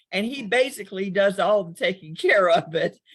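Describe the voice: A woman speaks at a medium pitch and a moderate pace with a slightly husky edge. Her intonation is lively.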